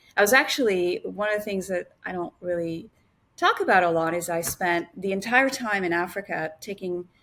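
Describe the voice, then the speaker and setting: A woman with a French accent speaks at a moderate pace in a bright, sharp tone, her pitch fairly low with ordinary pitch variation. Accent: French (native French speaker). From Senegal (Dakar), French Canadian family, teens in New York. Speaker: governance association president and business owner. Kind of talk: podcast interview.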